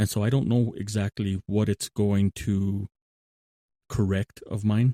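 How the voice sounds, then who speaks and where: A man's mumbling voice, fairly low in pitch, dark and mellow in tone, with fairly even intonation. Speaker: podcast host, Bible reflection. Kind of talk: monologue podcast talk. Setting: remote recording app. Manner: tends to mumble; conversational, with fillers and self-corrections.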